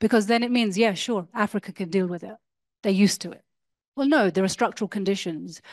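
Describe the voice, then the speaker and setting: A woman speaks at a medium pitch with fairly even intonation against a quiet background. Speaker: academic discussant; speaker. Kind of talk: lecture. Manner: formal. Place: hall. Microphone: handheld.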